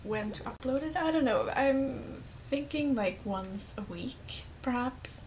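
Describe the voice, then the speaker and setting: Over noticeable background noise, a woman speaks fairly slowly with a Swedish accent. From Sweden. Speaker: gamer, let's play commentator. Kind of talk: casual gameplay commentary. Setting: webcam microphone, poor quality.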